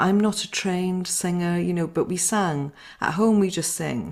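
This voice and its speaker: A woman with a Welsh accent speaks with fairly even intonation in a very clean recording with a silent background. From Wales. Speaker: singing circle leader. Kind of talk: interview talk. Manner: halting, many fillers.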